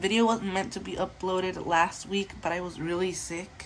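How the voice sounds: A woman speaks at a fairly low pitch with little pitch movement.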